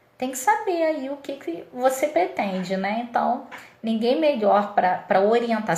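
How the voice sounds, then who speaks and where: A woman speaks at a fairly slow pace with lively intonation, her voice carrying audible room echo. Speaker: dairy nutrition consultant. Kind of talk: livestream lecture. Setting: live stream.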